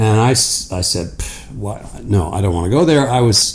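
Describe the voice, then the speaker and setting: A man with a fairly low voice, lively intonation, and a moderate pace, over noticeable background noise. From Canada (rural Ontario, near Hamilton). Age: 70s. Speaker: interview guest, world traveller. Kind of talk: casual chat.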